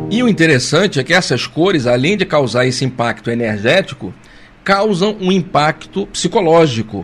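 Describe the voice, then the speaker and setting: This man has a fairly high pitch and an unremarkable speaking voice. He talks at a moderate pace with lively intonation. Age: 50s. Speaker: spiritist study leader. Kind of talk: lecture. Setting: live stream.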